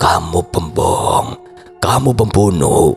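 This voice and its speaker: With clear music behind him, a man uses a raspy, put-on character voice at a very slow pace. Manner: furious, accusing, full of pain.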